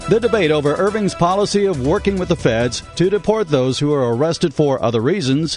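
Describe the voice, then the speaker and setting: This man's intonation is lively. Music plays in the background. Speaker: radio broadcaster. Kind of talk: radio news read.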